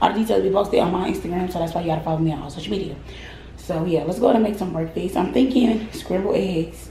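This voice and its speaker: Speaking very fast with ordinary pitch variation, a woman with a fairly low voice is heard with audible room echo and light background noise. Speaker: vlogger. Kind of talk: casual vlog chat. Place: kitchen. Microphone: phone near.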